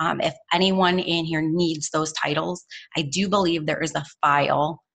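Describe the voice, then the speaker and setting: Against a quiet background, a woman with a fairly low pitch speaks in an energetic tone with ordinary pitch variation. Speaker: network marketing team leader. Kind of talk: team training call. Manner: fast.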